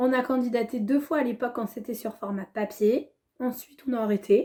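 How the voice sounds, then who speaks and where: At a moderate pace, a woman talks in a dark, mellow tone. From Normandy, France (Le Havre). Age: 30s. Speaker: school education counsellor, reality show applicant. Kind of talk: casual audition video. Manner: animated, laughing.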